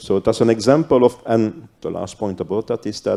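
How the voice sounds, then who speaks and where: This man's medium-pitched voice has a dark, mellow tone and ordinary pitch variation. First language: not English. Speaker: cybercrime police officer, panelist. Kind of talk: panel discussion. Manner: halting.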